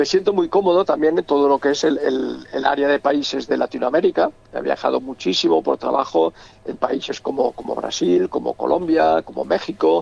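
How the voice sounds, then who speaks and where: This man speaks with a Catalan accent. The sound is dry and close with no echo, and there is noticeable background noise. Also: moderate pace. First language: Catalan (speaking Spanish). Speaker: novelist. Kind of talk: interview. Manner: halting, many repetitions and stammers.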